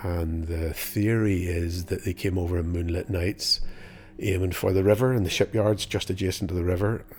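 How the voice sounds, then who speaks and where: A man with a Northern Irish accent speaks at a very deep, low pitch and moderate pace, somewhat breathy and with fairly even intonation. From Northern Ireland. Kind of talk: casual interview.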